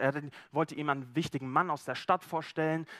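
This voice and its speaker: A man talks at a very fast pace in a fairly high, animated voice. The recording is very clean, with a silent background and a dry, close sound with no echo. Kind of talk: sermon with role-play storytelling. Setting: church. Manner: first-person storytelling as Zachaeus, animated, conversational and vivid; relaxed, informal, slightly halting with repeated words.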